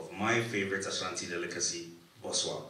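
Speech comes at a fairly quick pace. Light background noise and audible room echo are present. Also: man. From Ghana. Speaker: event founder. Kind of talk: formal speech. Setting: stage with audience. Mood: warm, lightly humorous. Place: hall. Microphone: podium.

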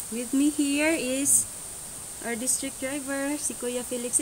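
Light background noise sits behind this recording. A woman speaks fairly slowly in a high pitch. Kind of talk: casual vlog chat. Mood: cheerful, laughing. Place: car. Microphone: phone near.

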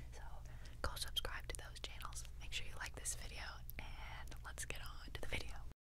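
A woman speaks at a moderate pace. The sound is dry with no echo, and there is noticeable background noise. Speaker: member of a sister girl band and vlogger. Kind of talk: casual talk to camera. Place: studio. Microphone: studio mic.

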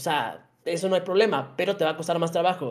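A high-pitched man with a Mexican accent, talking at a very fast pace against a quiet background. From Mexico. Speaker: gaming content creator; podcast guest. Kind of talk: casual chat. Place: home room. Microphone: video call.

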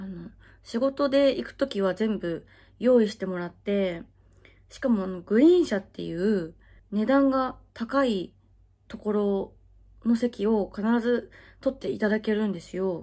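A woman speaks at a fairly slow pace with lively intonation. Her tone is dark and mellow, and the background is quiet. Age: 20s. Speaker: adult video actress. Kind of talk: casual Q&A chat. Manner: frequent laughter. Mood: cheerful, friendly. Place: home room.

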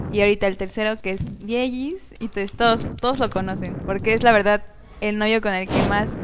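Noticeable background noise sits behind the recording. A woman talks at a fairly quick pace. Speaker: show host. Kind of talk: casual talk show chat. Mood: cheerful, laughing. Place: studio. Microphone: headset.

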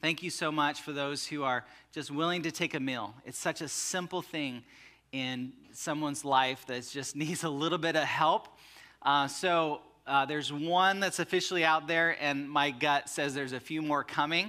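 A man speaks at a moderate pace in a bright, sharp tone with fairly even intonation, against a quiet background. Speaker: pastor. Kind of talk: sermon. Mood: somber then warm. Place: church.

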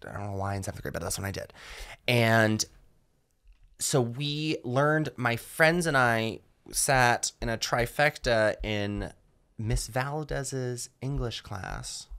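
In an American accent, a man with a medium pitch, ordinary pitch variation and a bright, sharp tone speaks at a very slow pace. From US South (Georgia). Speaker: stand-up comedian. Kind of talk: casual interview chat.

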